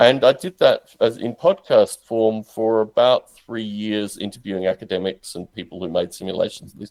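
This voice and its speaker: A man with an Australian accent at a moderate pace, in a dry, close sound with no echo. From Australia, Canberra. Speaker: podcaster and simulation developer. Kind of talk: interview.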